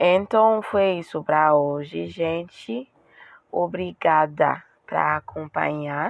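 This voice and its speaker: Speaking at a very slow pace, a woman uses a very deep, low voice with ordinary pitch variation. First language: French (speaking Portuguese). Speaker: beauty and weight-loss vlogger. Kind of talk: casual vlog talk. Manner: halting, with self-corrections.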